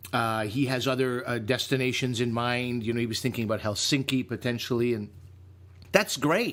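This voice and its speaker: A man speaks with a Canadian accent at a moderate pace, his pitch in the medium range. The recording is very clean, with a silent background. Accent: Canadian, says eh. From Canada. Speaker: comedian and podcast co-host. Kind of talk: casual chat. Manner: animated.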